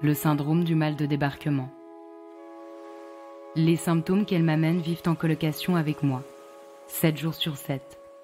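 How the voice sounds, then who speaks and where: With music in the background, a woman with a very deep, low pitch speaks in a monotone, flat intonation, pausing long and often. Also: fairly slow pace. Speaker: podcast host. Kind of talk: personal narration intro.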